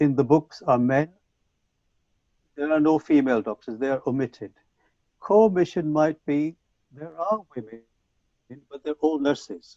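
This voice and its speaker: With a Punjabi accent, a man talks at a fairly slow pace in a dark, mellow tone and a fairly high pitch, the sound dry and close with no echo. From Punjab, India. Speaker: English language teacher trainer. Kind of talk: conference talk. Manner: hesitant with fillers.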